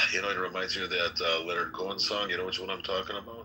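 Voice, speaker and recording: A man speaks over noticeable background noise. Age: 60s. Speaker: political candidate and podcast host. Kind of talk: casual chat.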